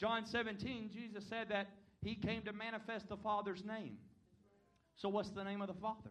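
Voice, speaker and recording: Audible room echo surrounds a man with a Southern US accent who speaks at a moderate pace, his high pitch held in a monotone, flat intonation. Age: 20s. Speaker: visiting preacher. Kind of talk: sermon. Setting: church.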